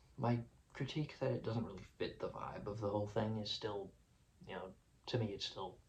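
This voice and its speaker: With audible room echo, a somewhat breathy man talks at a fairly quick pace with fairly even intonation, broken by long, frequent pauses. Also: medium pitch for a man. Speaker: music reviewer YouTuber. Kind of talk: casual video vlog reflection. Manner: fast; hesitant, filler-heavy.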